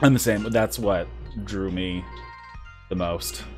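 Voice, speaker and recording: Music plays behind a man with a very deep, low voice. He moves at a moderate pace while his pitch swings very widely. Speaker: live streamer. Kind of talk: casual live stream chat. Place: home room. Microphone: studio mic.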